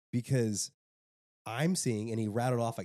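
Dry and close with no echo, the recording holds a man's medium-pitched voice with a dark, mellow tone. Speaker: podcast host. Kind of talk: casual chat.

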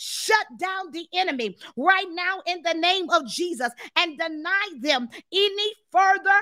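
A woman's extremely high voice, intense and warm yet bright and sharp in tone, with lively intonation at a fairly slow pace. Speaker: deliverance ministry leader and prayer host. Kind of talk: fervent prayer, spiritual warfare intercession. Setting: live stream to online viewers. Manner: intense, commanding, rhythmic and repetitive, building in passion; warm, enthusiastic, greets viewers animatedly.

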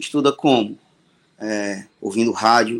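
A man is speaking. His intonation is fairly even. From Ceará, Brazil (Fortaleza). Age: 40s. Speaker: songwriter. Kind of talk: storytelling interview.

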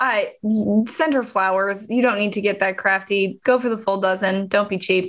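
A woman's normal speaking voice at medium pitch, fairly even in intonation, at a moderate pace against a quiet background. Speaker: podcast co-host. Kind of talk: casual chat.

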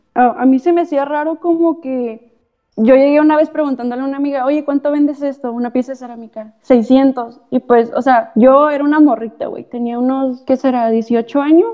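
A woman speaks at a high pitch and a moderate pace, with hardly any pauses. Her pitch varies in an ordinary way. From Tecate, Baja California, Mexico. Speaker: artist. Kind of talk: casual chat.

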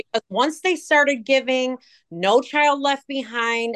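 With a Chicago accent, a woman talks in an animated tone at a high pitch. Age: 40s. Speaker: social media personality. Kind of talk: casual chat.

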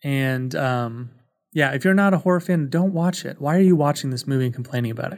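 A man's slightly mellow voice at a fairly quick pace, with ordinary pitch variation. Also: medium pitch for a man.

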